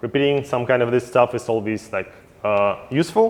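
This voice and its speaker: In a Russian accent, a man speaks with ordinary pitch variation. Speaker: yeast company technical sales representative. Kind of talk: technical seminar presentation. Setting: seminar at a brewhouse.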